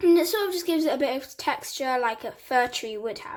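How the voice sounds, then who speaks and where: In a very clean recording with a silent background, a woman with a British accent speaks with very wide pitch swings. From England. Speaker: hobby vlogger. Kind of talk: casual tutorial voiceover. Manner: casual, chatty.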